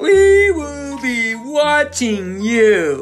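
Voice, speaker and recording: A put-on character voice at a high pitch swings very widely in pitch over faint music in the background. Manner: hissing, threatening.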